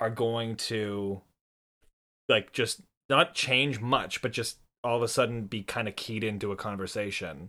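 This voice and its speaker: In a very clean recording with a silent background, a man with a Montreal accent speaks at a moderate pace and with ordinary pitch variation. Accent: Canadian English (Montreal). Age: 20s. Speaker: podcast co-host. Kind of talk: casual chat.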